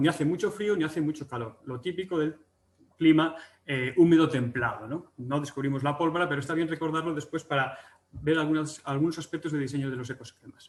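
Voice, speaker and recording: Talking very fast in a Galician accent, a man uses a fairly high pitch with ordinary pitch variation. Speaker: agricultural economics researcher. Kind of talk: webinar presentation. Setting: online webinar. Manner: hesitant, many fillers and restarts.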